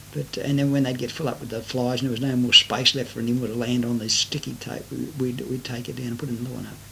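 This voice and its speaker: With an Australian accent, a man speaks at a very fast pace and medium pitch, using fairly even intonation and hardly any pauses over noticeable background noise. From Sydney, Australia. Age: 60s. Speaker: retiree recording life story. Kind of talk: oral memoir. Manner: hesitant, many fillers.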